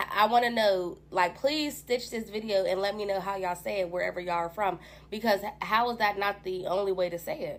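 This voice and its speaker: A woman puts on a raspy character voice, speaking at a fairly quick pace in a medium pitch. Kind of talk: casual, social media.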